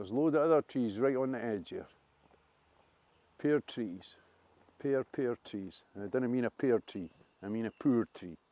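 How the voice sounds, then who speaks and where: In a Dundee accent, a man speaks at a medium pitch and a moderate pace with ordinary pitch variation. The sound is dry and close, with no echo. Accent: Dundonian. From Scotland, Dundee. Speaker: vlogger. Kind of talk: walking video commentary. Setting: outdoors. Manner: animated.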